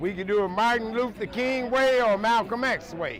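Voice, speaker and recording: Noticeable background noise behind speech at a moderate speed. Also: man. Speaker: cafe and speakeasy owner. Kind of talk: confrontation with an interloper. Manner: poetic, comedic and direct.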